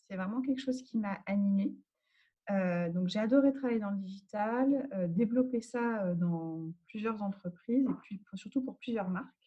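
A woman with a fairly high pitch sounds somewhat breathy, speaking at a fairly slow pace with ordinary pitch variation. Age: 40s. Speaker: agile transformation manager. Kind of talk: interview. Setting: at home.

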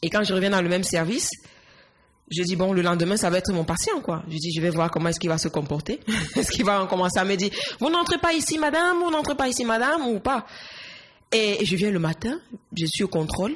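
Against noticeable background noise, a woman at medium pitch talks very fast with long, frequent pauses, very wide pitch swings and very even loudness. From Cameroon, Yaoundé. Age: 20s. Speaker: nurse. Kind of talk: interview.

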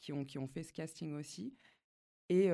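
A woman with a very deep, low pitch and a dark, mellow tone speaks at a fairly slow pace. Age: 30s. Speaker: tattoo artist. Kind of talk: casual interview. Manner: halting, many repetitions.

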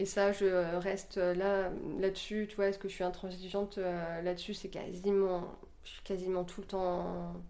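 Delivery is fairly slow and monotone, with flat intonation and big swings in loudness. Audible room echo surrounds the voice. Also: woman, medium pitch for a woman. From rural France. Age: 40s. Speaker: office worker and yoga teacher. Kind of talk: casual interview at home. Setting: home kitchen. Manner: hesitant, many fillers.

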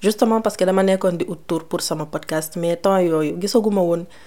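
A dark, mellow tone with ordinary pitch variation. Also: woman. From Senegal. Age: 30s. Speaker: podcast host. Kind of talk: casual Q&A monologue.

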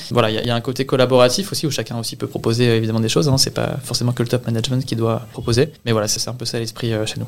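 A man's very fast speech at medium pitch, fairly even in intonation, with hardly any pauses. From Normandy, Le Havre. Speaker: real estate asset management analyst. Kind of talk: interview testimony. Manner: hesitant, repeats words.

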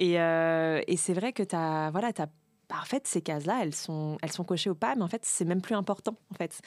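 On a very clean recording with a silent background and a dry, close sound with no echo, a woman talks in a medium pitch with an ordinary speaking voice. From Paris suburbs, France. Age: 30s. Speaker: social media content creator. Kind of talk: casual chat.

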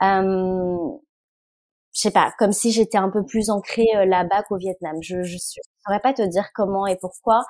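A woman at a medium pitch and fairly slow pace with fairly even intonation, on a very clean recording with a silent background. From France. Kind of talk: interview. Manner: halting, many filler words.

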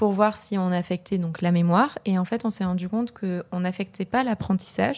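A woman's dark, mellow voice at medium pitch and a moderate pace, with ordinary pitch variation. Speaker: PhD student in neuroscience. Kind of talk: casual interview.

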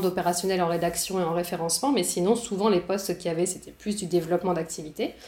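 A woman at medium pitch with fairly even intonation, over noticeable background noise. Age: 30s. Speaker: entrepreneur and communication teacher. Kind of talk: interview.

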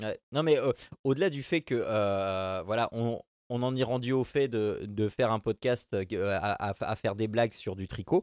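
A man's normal speaking voice at medium pitch, fairly slow, with ordinary pitch variation, a dry, close sound with no echo, and a quiet background. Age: 40s. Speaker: podcast host. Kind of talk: casual chat.

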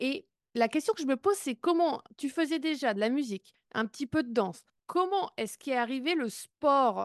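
A woman speaks at a moderate pace in a high pitch, her pitch swinging very widely. Her loudness also shifts in big swings. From Brittany, France. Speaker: podcast host. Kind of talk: interview podcast.

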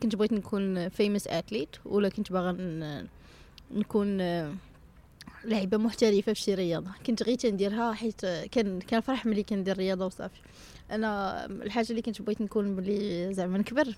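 At a moderate pace, a woman speaks at medium pitch in a dark, mellow tone with fairly even intonation. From Morocco, Salé. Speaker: American football coach and social entrepreneur. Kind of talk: casual interview.

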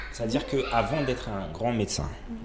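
The speech comes at a fairly slow pace. Room echo is audible, and there is noticeable background noise. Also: man. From Comoros. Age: 30s. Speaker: architect and education entrepreneur. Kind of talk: interview conversation. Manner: halting, many repetitions.

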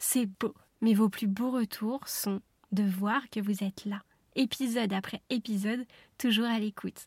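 A woman speaks in a fairly high, somewhat breathy voice. The recording is very clean and dry, close with no echo and a silent background. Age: 30s. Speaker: podcast host, wellness coach. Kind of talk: solo podcast monologue. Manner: animated.

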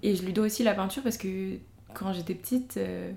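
Somewhat breathy at a medium pitch, a woman talks at a fairly quick pace. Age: young. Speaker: painter. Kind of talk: casual interview chat.

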